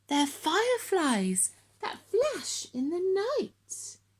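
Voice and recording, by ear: Very slowly and at an extremely high pitch, a woman speaks in a put-on character voice with very wide pitch swings.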